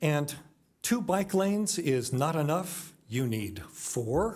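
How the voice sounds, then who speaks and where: This man's voice sits fairly high in pitch. Vocal fry runs through his speech. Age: 70s. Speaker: public commenter at council meeting. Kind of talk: public comment speech. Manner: forceful, indignant.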